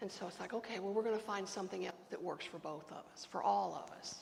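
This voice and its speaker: Audible room echo surrounds a woman with an American accent. She talks at a fairly quick pace and a medium pitch. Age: 60s. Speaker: pastor. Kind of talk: sermon. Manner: conversational.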